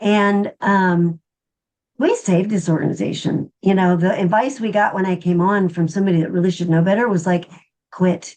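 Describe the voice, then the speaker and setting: In a normal speaking voice, a woman at a medium pitch speaks at a moderate pace with very even loudness and fairly even intonation. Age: 60s. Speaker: nonprofit worker and intuitive healer. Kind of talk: casual chat.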